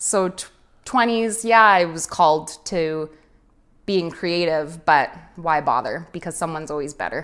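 An ordinary speaking voice in a Canadian accent moves at a fairly slow pace with ordinary pitch variation. The recording is very clean, with a silent background. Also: woman, fairly low pitch for a woman. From Canada. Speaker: artist. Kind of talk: casual interview.

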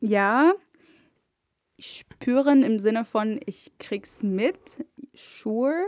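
A woman with an Arabic accent at a very slow pace, fairly high in pitch with lively intonation, long, frequent pauses, and a dry, close sound with no echo. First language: Arabic (speaking German). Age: 20s. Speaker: media studies student. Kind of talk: casual chat.

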